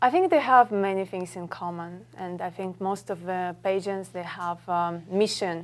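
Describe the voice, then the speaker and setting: In a very clean recording with a silent background, a woman with a Russian accent talks at a fairly slow pace with fairly low pitch. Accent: Russian accent, clear. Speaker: model and actress. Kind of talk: talk show interview. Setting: studio with audience.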